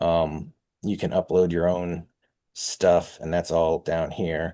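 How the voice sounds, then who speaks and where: This is a man speaking. His voice is very deep and low. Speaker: software developer presenting his platform. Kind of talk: webinar software demo. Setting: online webinar. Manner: hesitant, many fillers.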